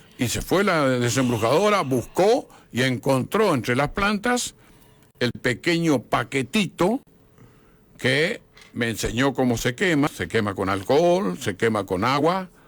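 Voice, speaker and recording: Very wide pitch swings mark this fairly slow delivery. The recording is very clean, with a silent background. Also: man, medium pitch for a man. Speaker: historian and author. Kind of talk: radio interview.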